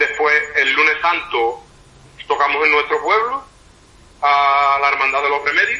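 A fairly high-pitched man at a fairly slow pace, with ordinary pitch variation, long, frequent pauses and noticeable background noise. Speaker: band musician. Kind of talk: interview.

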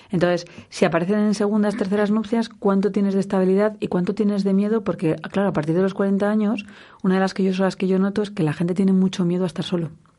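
In very even loudness, a woman speaks at a very fast pace with a dark, mellow tone and monotone, flat intonation against a quiet background. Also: medium pitch for a woman. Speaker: radio host and sexologist. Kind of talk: radio talk show interview. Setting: radio studio.

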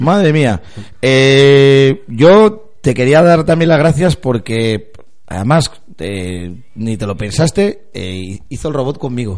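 Speaking at a medium pitch with very wide pitch swings, a man talks at a very slow pace. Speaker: football podcast host. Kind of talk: casual chat.

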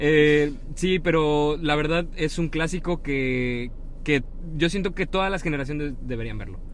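A man with a fairly high pitch and ordinary pitch variation talks at a fairly slow pace. The room gives audible echo. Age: 20s. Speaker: podcast co-host. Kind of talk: casual chat.

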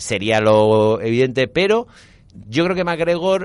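A man speaks with lively intonation. He has a plain, everyday voice. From Valencia, Spain. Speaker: radio host and writer. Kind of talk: interview.

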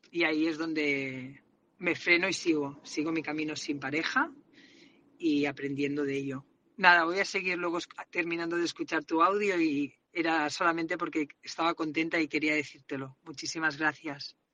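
Speaking at a moderate pace, a woman with a very deep, low pitch uses fairly even intonation and a bright, sharp tone. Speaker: salesperson, listener sending a voice message. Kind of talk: personal voice message.

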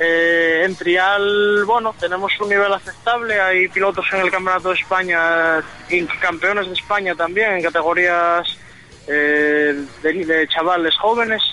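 There is noticeable background noise behind this man's high voice. His intonation is fairly even and his loudness very even. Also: fairly slow pace. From Spain, Asturias. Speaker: motocross rider. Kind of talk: radio interview.

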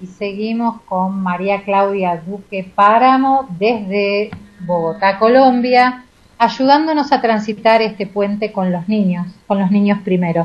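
With a somewhat breathy, medium-pitched voice, a woman speaks at a very slow pace with ordinary pitch variation. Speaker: radio host. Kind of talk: radio interview.

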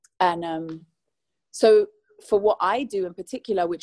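A woman with a London accent speaks at a moderate pace and medium pitch, her dark, mellow tone heard dry and close with no echo. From London, England. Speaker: singer. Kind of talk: interview.

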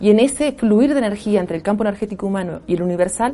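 At a very fast pace, a woman speaks in a dark, mellow tone. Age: 50s. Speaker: spiritual sound healer. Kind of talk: interview.

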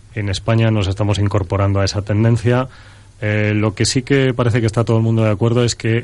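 Against a quiet background, a man with a fairly low pitch speaks at a fairly quick pace in a monotone, flat intonation. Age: middle-aged. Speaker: running pundit. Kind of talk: radio chat.

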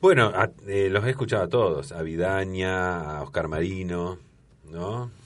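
At a fairly slow pace, a man talks in a very deep, low voice with ordinary pitch variation. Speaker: veteran radio broadcaster. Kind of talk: casual chat. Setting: studio.

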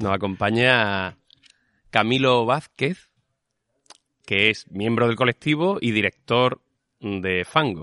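A man at a medium pitch with a bright, sharp tone, very slow pace, long, frequent pauses and ordinary pitch variation, the sound dry and close with no echo over a quiet background. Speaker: theatre podcast host. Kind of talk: casual interview chat. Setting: theatre stage after a show.

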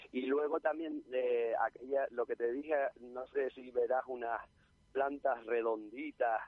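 In monotone, flat intonation, a man at medium pitch speaks at a fairly slow pace. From Arafo, Tenerife. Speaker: nature enthusiast. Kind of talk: casual chat.

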